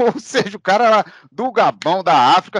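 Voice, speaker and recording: A high-pitched man's voice at a fairly slow pace, with lively intonation and a dry, close sound with no echo. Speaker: history teacher. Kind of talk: interviewer, casual conversation.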